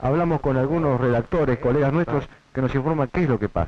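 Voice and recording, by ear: A man talks at a fast pace. His pitch sits in the middle range. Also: ordinary pitch variation.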